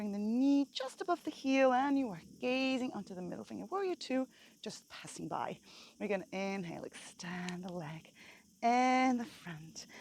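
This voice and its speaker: A woman speaks at a fairly high pitch with very wide pitch swings. Her loudness also swings widely. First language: not English. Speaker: yoga teacher. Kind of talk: guided yoga class. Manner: slow, calm.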